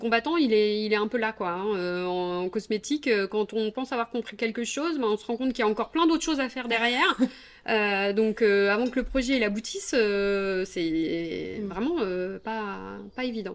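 Pitched fairly high, a woman speaks at a fairly slow pace with ordinary pitch variation. The recording is very clean, with a silent background. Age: 40s. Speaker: soap maker. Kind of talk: interview. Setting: at her home. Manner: hesitant, many fillers.

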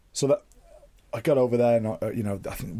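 A man with a Mancunian accent talks in a dark, mellow tone. The recording is very clean, with a silent background. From Manchester, England. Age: 30s. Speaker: professional rugby player. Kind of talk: casual interview. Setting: studio.

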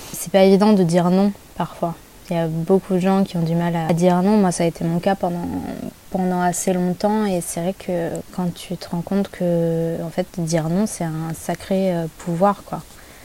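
Over noticeable background noise, a woman talks at a moderate pace in a fairly low, monotone voice with flat intonation. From Paris region, France. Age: 30s. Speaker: photographer. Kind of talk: casual interview.

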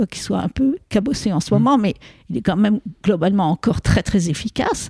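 Dry and close with no echo, a woman's dark, mellow voice sits at medium pitch with vocal fry, lively intonation and a fairly quick pace. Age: 70s. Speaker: epidemiologist. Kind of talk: interview.

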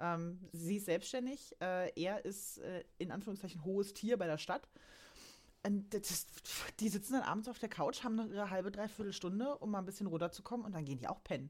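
A woman with an ordinary speaking voice, medium pitch and ordinary pitch variation at a fairly quick pace. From Saxony-Anhalt, Germany. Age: 30s. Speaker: financial accountant. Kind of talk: casual chat.

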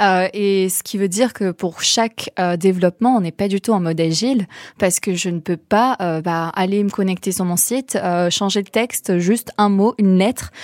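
A woman's normal speaking voice at medium pitch and a moderate pace, with fairly even intonation and a dry, close sound with no echo, in a very clean recording with a silent background. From southern France, Vaucluse. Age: young. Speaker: social entrepreneur. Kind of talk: interview.

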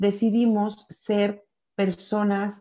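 The voice moves at a very slow pace, its dark, mellow tone held in a monotone, flat intonation. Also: woman. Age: 40s. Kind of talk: casual chat.

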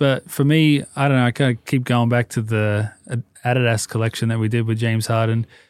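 In an Australian accent, a man at medium pitch speaks in a monotone, flat intonation with very even loudness, the sound dry and close with no echo on a very clean recording with a silent background. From Sydney, Australia. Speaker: hat and clothing brand founder. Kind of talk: casual interview chat.

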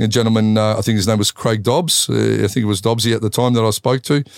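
A man with an Australian accent speaks in a fairly even intonation, his voice dry and close with no echo on a very clean recording over a silent background. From Australia, Melbourne. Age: 50s. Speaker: Muay Thai kickboxer and fight commentator. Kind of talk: casual interview.

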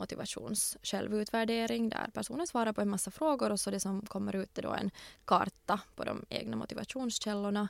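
Recorded very cleanly against a silent background, a woman speaks at a fairly quick pace. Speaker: lawyer, entrepreneur and recruiter. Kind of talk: interview.

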